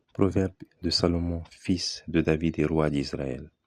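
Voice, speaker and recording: A man's very deep, low voice with fairly even intonation against a quiet background. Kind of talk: Bible reading for relaxation and sleep.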